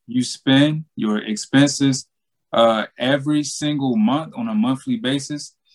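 In a Southern US accent, a man speaks at a fairly slow pace and fairly high pitch, the sound dry and close with no echo. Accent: Southern US (Georgia). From US South, Southeast Georgia. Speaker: money coach, former college football player. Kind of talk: casual interview.

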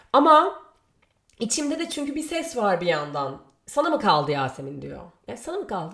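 A woman keeps a moderate speed while her pitch swings very widely. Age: 30s. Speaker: podcast host. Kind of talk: solo monologue. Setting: home. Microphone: new microphone.

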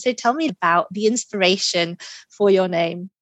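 The sound is dry and close with no echo as a woman with an unremarkable speaking voice talks at moderate pace, medium pitch and ordinary pitch variation. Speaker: podcast host and executive coach. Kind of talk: interview conversation. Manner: warm, welcoming.

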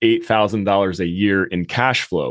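A man with an American accent has a normal speaking voice at a fairly low pitch. He keeps a moderate pace and fairly even intonation against a quiet background. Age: 30s. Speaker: real estate investing podcast host. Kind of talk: solo monologue podcast.

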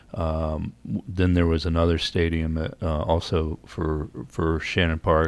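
With an American accent, a man speaks very slowly in a very deep, low, monotone voice with flat intonation, hardly pausing at all. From Virginia, US. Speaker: radio host and editor. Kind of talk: casual radio interview. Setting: studio.

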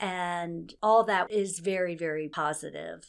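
A woman with an American accent, a normal speaking voice, fairly low in pitch and fairly slow, on a very clean recording with a silent background. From Maryland, US. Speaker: retired hospital executive and nurse. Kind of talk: interview.

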